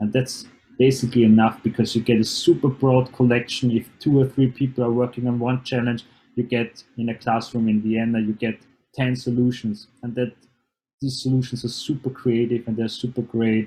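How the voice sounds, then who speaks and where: A man's somewhat breathy, dark and mellow voice at medium pitch, monotone and flat, at a moderate pace. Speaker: programming workshop presenter. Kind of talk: online seminar presentation.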